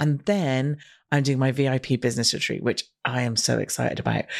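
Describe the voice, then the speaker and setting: On a very clean recording with a silent background, a woman talks at a fairly quick pace in a very deep, low voice. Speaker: podcast host. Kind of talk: solo podcast monologue. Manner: fast.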